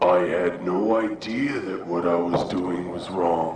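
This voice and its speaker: A man performs a put-on character voice with a very deep, low pitch. Clear background noise and a slight echo are present. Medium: read story. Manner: rhyming, demanding.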